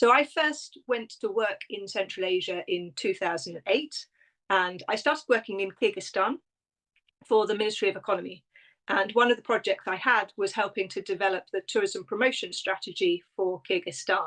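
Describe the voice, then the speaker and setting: With a British accent, a woman talks at a moderate pace, her medium pitch showing ordinary variation. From Britain. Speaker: tourism consultant and travel writer. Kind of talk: interview.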